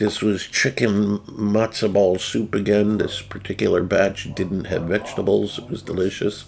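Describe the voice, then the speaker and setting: Man with an American accent, fairly low-pitched, fairly even intonation, moderate pace, hardly any pauses, noticeable background noise. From New Jersey. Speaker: video game streamer. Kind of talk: casual chat.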